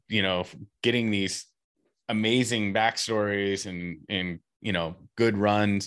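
On a very clean recording with a silent background, a man speaks at a fairly low pitch. His intonation stays fairly even. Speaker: podcast co-host. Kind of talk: casual chat.

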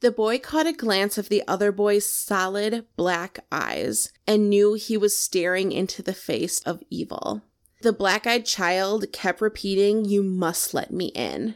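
A woman talks with hardly any pauses in an ordinary speaking voice, at a medium pitch with ordinary variation. The recording is very clean, with a silent background. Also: fairly slow pace. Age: 30s. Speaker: podcast co-host. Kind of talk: storytelling.

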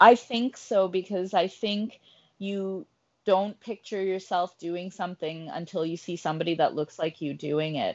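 This woman has a plain, everyday voice with a Canadian accent and a medium pitch. She talks at a moderate pace with ordinary pitch variation. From Canada, Ottawa. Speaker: sports radio co-host. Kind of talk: casual chat.

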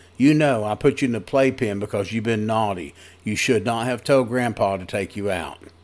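The voice offers plain reading aloud with ordinary pitch variation.

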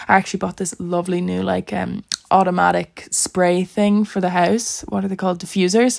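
This woman has an Irish accent, a medium pitch and a moderate pace. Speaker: podcast host. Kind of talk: casual solo chat.

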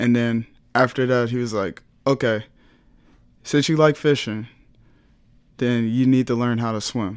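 A man with an American accent, medium pitch and fairly even intonation, at a fairly slow pace on a very clean recording with a silent background. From Texas, Houston. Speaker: college swimmer. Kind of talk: casual interview.

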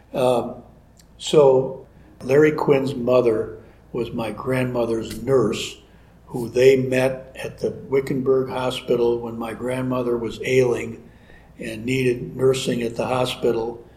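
Monotone, flat intonation comes with an American accent at a fairly slow pace, along with audible room echo. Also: man, big swings in loudness. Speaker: ranch homeowner. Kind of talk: interview. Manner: halting.

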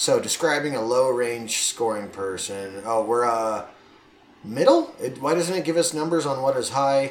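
A man's medium-pitched, an ordinary speaking voice at a moderate pace, with ordinary pitch variation. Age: 30s. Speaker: podcast host. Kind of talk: casual chat.

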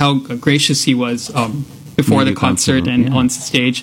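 A man talks at a fairly quick pace in an ordinary speaking voice. His pitch varies in an ordinary way. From Texas. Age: 20s. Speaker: violinist and engineer. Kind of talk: radio interview. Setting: radio studio.

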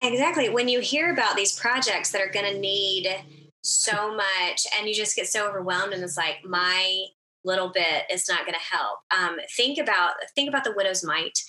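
A woman speaks at a moderate pace and a medium pitch, with lively intonation. She has a plain, everyday voice. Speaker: podcast co-host. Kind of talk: casual chat.

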